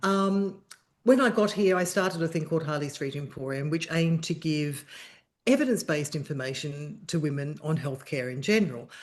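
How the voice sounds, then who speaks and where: A woman with an Australian accent speaks in a very deep, low pitch. Her intonation is lively over a quiet background. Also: fairly quick pace. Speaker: journalist and menopause charity founder. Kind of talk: interview conversation.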